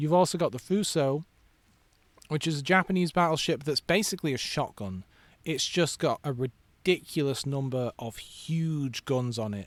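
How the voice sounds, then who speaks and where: Lively intonation from a man with a fairly high voice at a moderate pace, with a dry, close sound and no echo. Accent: English. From England. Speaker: video game streamer. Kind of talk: casual gameplay commentary. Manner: halting, frequent fillers and repeats.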